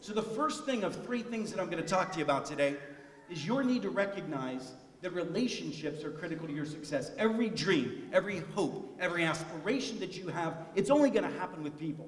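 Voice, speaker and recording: Amid audible room echo and noticeable background noise, a man talks very fast in a high voice, animated in tone with lively intonation. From US, immigrant family from Italy, steelworker region. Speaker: keynote speaker. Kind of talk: commencement speech. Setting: stage with audience.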